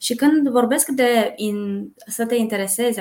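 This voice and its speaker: Using ordinary pitch variation, a woman talks in an ordinary speaking voice. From Brașov, Romania. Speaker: recruitment coordinator. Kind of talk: podcast interview.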